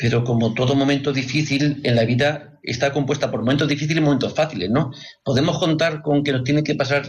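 Fairly high in pitch and somewhat breathy, a man speaks at a fairly quick pace with very even loudness and fairly even intonation. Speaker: radio host. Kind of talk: radio talk show.

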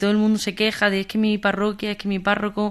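A woman with an Andalusian accent. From Andalusia, Jaén. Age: 20s. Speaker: communications manager for youth group. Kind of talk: radio interview. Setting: studio.

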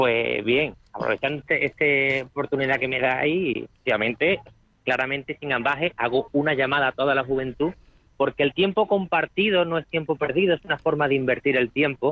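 A man talks at a fairly high pitch and a fairly quick pace with ordinary pitch variation. It is an unremarkable speaking voice. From Spain, Málaga province (Álora). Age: young. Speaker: volunteer, building engineer. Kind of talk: interview.

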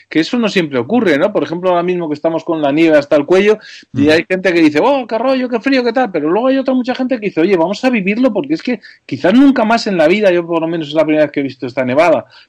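A man's high voice at a very fast pace, with very wide pitch swings and hardly any pauses. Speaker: television director. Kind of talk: radio interview.

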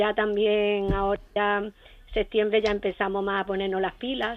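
A woman speaks at a moderate pace in a medium pitch. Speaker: retired teacher, caller. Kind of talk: phone-in call. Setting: phone call.

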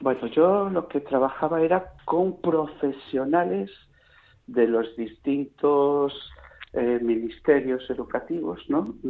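A man at a very slow pace, with lively intonation. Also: fairly high pitch for a man. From Castile, Palencia province. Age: 60s. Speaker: retired blind teacher, volunteer. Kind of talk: radio interview.

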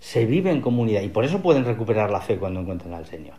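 A man speaks at a medium pitch in a dark, mellow tone that is somewhat breathy. Audible room echo surrounds the voice. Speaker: literature professor. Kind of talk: radio interview.

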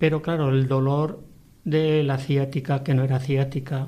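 A man talks at a fairly slow pace in a fairly high pitch. His tone is dark and mellow, and somewhat breathy. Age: 60s. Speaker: widower. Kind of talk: testimony.

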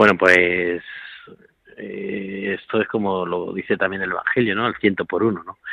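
A man speaks at a fairly low pitch in a monotone, flat intonation. His pace is fairly slow. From Spain (Toledo province). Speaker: priest, care home director. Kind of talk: radio interview.

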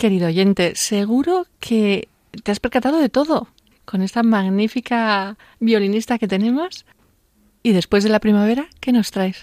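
With a Spanish accent, a woman speaks at a fairly slow pace in a fairly high pitch with ordinary pitch variation. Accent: Spanish (Spain). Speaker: radio host. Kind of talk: radio show. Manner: animated.

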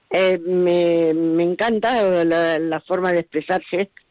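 A woman's fairly low, dark and mellow voice at a very slow pace, with a dry, close sound and no echo. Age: 80s+. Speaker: amateur painter, listener caller. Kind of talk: phone-in call. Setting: phone call.

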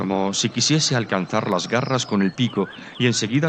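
With ordinary pitch variation, someone reads in an unforced reading voice.

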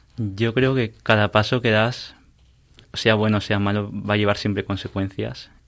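Recorded very cleanly against a silent background, the speech moves at a fairly slow pace with fairly even intonation. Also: man, fairly low pitch for a man. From Peru, raised in Spain from age six. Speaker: university student. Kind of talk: interview. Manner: hesitant.

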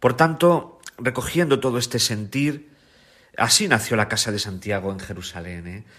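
An unremarkable speaking voice from a man at medium pitch, with lively intonation, a moderate pace and big swings in loudness. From Spain, La Mancha (Ciudad Real). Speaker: priest and biblical scholar. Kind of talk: radio interview, testimony.

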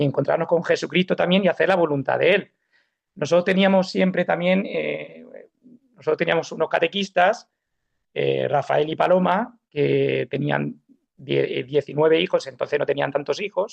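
This man speaks at a fairly slow pace with very even loudness. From Spain (Alicante, raised mostly Málaga). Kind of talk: testimony. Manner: halting.

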